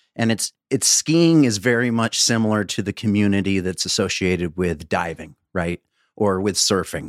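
A man speaks in an unremarkable speaking voice, fairly low in pitch, at a moderate pace with lively intonation. The recording is very clean, with a silent background. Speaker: podcast co-host. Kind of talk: casual chat.

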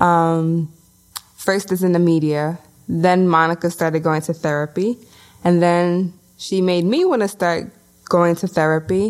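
A woman's fairly low voice with a New York accent, fairly even intonation, very even loudness and a fairly slow pace. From Brooklyn, New York (Bushwick). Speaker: podcast co-host. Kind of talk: casual chat.

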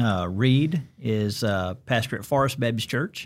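A man speaks at a medium pitch with a Southern US accent, recorded very cleanly against a silent background. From Alabama. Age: 50s. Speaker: pastor. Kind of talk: casual interview chat. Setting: studio.

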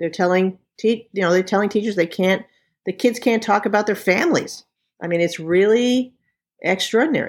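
A woman with an American accent has an ordinary speaking voice at a medium pitch, with ordinary pitch variation. She talks at a fairly quick pace on a very clean recording with a silent background. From New York. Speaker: LGBTQ activist. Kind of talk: interview.

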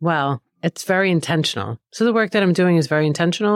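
A woman at a fairly quick pace with ordinary pitch variation, dry and close with no echo, on a very clean recording with a silent background. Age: 50s. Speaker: keynote speaker and author. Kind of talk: casual chat.

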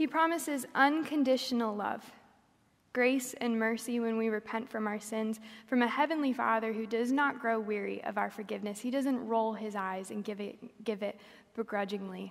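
At a moderate pace, the woman talks in a fairly high voice that shifts in pitch in an ordinary way. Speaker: preacher. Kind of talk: sermon. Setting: church.

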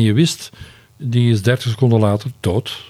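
Using an ordinary speaking voice, a man talks at a fairly slow pace and a medium pitch. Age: 60s. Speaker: retired foreign correspondent, journalist. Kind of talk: interview.

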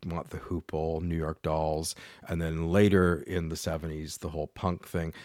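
A man with a Canadian accent and a very deep, low pitch is heard on a very clean recording with a silent background. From Canada, London, Ontario. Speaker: podcast host. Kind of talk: solo podcast narration.

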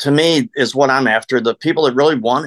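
Recorded dry and close with no echo, a man has a fairly high pitch, ordinary pitch variation and a plain, everyday voice. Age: 60s. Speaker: network marketer. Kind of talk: interview.

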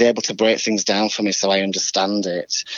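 A man with a fairly low voice speaks at a moderate pace in a flat monotone over noticeable background noise. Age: 40s. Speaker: choreographer. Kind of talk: casual interview chat.

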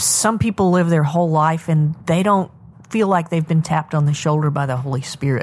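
Pitched fairly low, a woman talks in a normal speaking voice, and her pitch varies in an ordinary way. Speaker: podcast host interviewer. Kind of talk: interview.

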